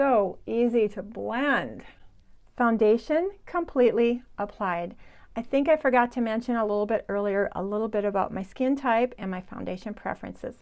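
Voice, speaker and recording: An unremarkable speaking voice from a woman, fairly high in pitch with ordinary variation, at a moderate pace, on a very clean recording with a silent background. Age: 60s. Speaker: beauty vlogger. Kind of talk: makeup tutorial. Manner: casual, chatty.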